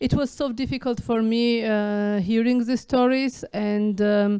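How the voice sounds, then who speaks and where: The recording is very clean, with a silent background. A woman with a dark, mellow tone speaks at a very slow pace, her intonation fairly even. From Georgia (Tbilisi). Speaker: novelist and filmmaker. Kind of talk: festival interview. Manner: halting, many fillers.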